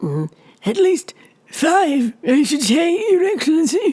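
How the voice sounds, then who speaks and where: Raspy and high-pitched, a put-on character voice moves at a fairly slow pace. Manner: obsequious, servile.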